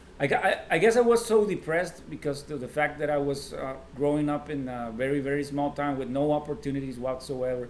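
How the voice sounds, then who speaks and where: Over noticeable background noise, a man with a fairly high pitch and ordinary pitch variation talks at a fairly quick pace with hardly any pauses. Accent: Mexican. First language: Spanish. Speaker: singer-songwriter. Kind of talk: casual interview chat. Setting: drinking beers in a sit-down interview. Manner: halting, many fillers and restarts.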